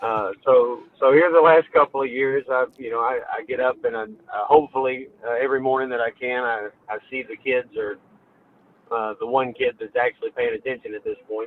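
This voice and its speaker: Medium in pitch, a man talks with a Memphis accent. His pace is fairly quick and his intonation fairly even. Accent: US Southern (Memphis). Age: 30s. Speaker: towing business owner. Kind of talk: podcast interview.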